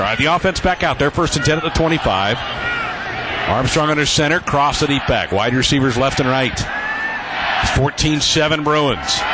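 A man speaks at a moderate pace over loud background noise, the sound dry with no echo. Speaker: play-by-play radio sports announcer. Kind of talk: live football play-by-play radio commentary. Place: booth.

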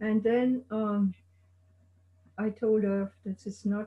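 Very slow, somewhat breathy speech from a woman with a dark, mellow tone and monotone, flat intonation, against a quiet background. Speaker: guest's wife and life partner; guest. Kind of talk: oral history interview. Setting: video call. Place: home room. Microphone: video call.

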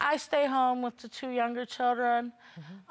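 Her intonation is fairly even and her pace fairly slow. This woman speaks at a high pitch. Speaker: litigant on a court show. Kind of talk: courtroom testimony. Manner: halting. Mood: aggrieved, complaining. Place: studio.

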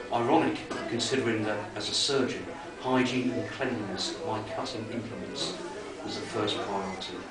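Loud background noise and audible room echo surround a man's voice. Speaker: author. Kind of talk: horror story reading. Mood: dark, suspenseful narration. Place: bar. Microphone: camera far.

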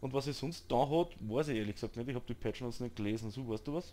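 In an Austrian accent, a man speaks at a fairly quick pace with a medium pitch and a dark, mellow tone. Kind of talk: gaming commentary. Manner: casual, chatty.

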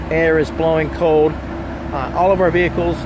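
A man's voice against loud background noise. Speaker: car salesman. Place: street. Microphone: phone near.

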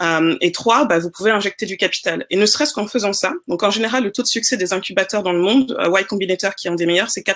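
Talking at a very fast pace with hardly any pauses, a woman uses ordinary pitch variation. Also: medium pitch for a woman. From Senegal. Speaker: investor and entrepreneur; panelist. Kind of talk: panel discussion. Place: home room.

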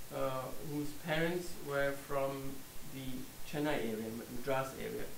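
Speaking at a fairly slow pace, a man with a fairly high pitch is heard with audible room echo and light background noise. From Germany. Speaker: scholar and author. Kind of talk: lecture. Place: meeting room.

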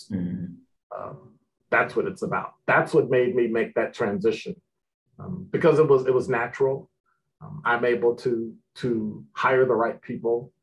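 A man speaks with an American accent at a moderate pace. Light background noise is present. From Chicago. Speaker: retired police officer, professor and radio host. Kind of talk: interview. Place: office. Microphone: webcam.

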